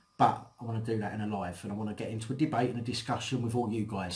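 The voice is somewhat breathy. It belongs to a man. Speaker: channel host. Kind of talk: casual vlog chat. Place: home room.

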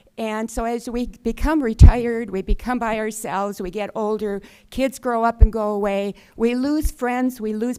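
A woman's fairly high voice with a dark, mellow tone, ordinary pitch variation and a moderate pace, on a very clean recording with a silent background. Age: 70s. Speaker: public commenter, retired school principal. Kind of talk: public comment at a county board meeting.

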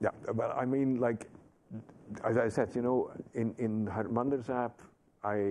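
Over light background noise, a man with a dark, mellow tone speaks at a moderate pace in a monotone, flat intonation with very even loudness and long, frequent pauses. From Netherlands. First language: Dutch. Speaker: Sikh activist and former chaplain. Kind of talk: interview answer. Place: studio.

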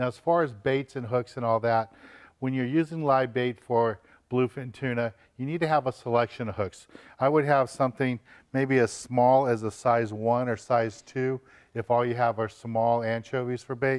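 A man's fairly even intonation carries at a moderate speed over a quiet background. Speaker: fishing TV host. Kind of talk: tutorial. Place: shop.

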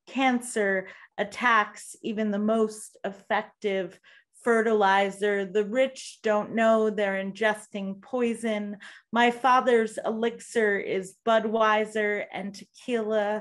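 Against a quiet background, a woman talks at a very slow pace in a monotone with flat intonation. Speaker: poet. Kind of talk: poetry reading. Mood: grave, measured. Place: home room. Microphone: video call.

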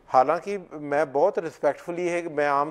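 Here a man speaks at a fairly slow pace. His pitch is fairly high, with ordinary variation. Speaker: Sikh community advocate; guest. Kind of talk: interview. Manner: loud at times. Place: studio. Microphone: lapel.

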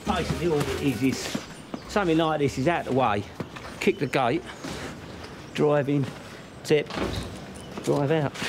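A man speaks at a moderate pace with ordinary pitch variation, very even loudness and long, frequent pauses amid noticeable background noise. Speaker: council waste worker. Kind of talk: interview answer. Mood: matter-of-fact, wry. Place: street.

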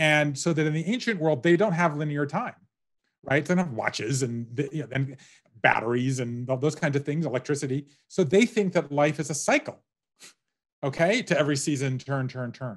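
Against a quiet background, a man with an American accent talks at a fairly quick pace, his fairly high pitch showing ordinary variation. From US South. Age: 50s. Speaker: author. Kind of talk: interview. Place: home room. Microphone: webcam.

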